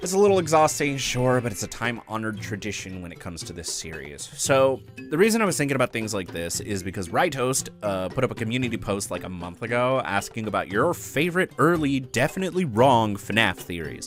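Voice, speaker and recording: Over background music, a medium-pitched man talks at a fairly quick pace with hardly any pauses, very wide pitch swings and big swings in loudness. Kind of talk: fan theory commentary. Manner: casual, self-deprecating.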